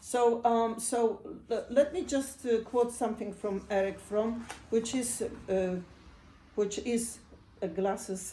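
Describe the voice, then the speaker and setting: Very slow speech with long, frequent pauses and ordinary pitch variation. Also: woman, fairly high pitch for a woman. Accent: Polish. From Poland. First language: Polish. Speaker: psychotherapist. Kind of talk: talk. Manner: halting.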